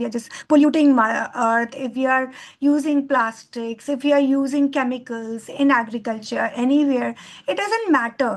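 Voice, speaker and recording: Speaking with an Indian accent, a woman keeps a moderate pace, a high pitch and ordinary pitch variation. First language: Hindi. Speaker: bioenzyme trainer. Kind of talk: talk to an online course. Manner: halting.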